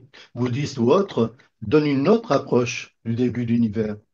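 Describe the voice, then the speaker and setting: This man has a medium pitch. His tone is dark and mellow. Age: 70s. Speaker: participant in discussion group. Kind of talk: group discussion. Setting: video call. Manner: halting, stammering restarts.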